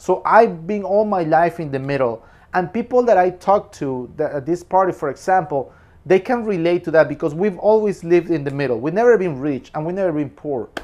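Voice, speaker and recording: A man with a Spanish accent speaks at a fairly quick pace, high in pitch, with lively intonation. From Peru. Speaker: film reviewer. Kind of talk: casual film review monologue.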